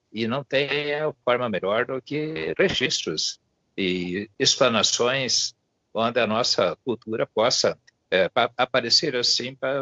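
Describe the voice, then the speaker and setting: This man's very slow delivery has lively intonation. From Brazil, Paraná (Irati). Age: 70s. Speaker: municipal culture secretary. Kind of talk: formal greeting remarks. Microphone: unstable rural internet connection.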